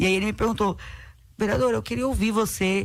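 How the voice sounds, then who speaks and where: A woman's medium-pitched voice with vocal fry, at a fairly quick pace, on a very clean recording with a silent background. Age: 30s. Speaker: city councillor, politician. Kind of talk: radio interview.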